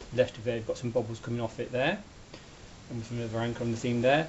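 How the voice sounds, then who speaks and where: Somewhat breathy, a man's voice comes through. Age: 50s. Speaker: craft hobbyist. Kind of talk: tutorial. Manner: casual, hesitant.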